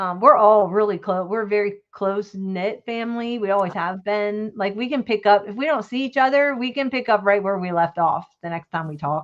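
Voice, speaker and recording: Over a quiet background, a woman speaks in a normal speaking voice at a fairly quick pace with hardly any pauses, medium pitch and ordinary pitch variation. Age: 60s. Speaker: crafter and live-stream host. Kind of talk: casual chat.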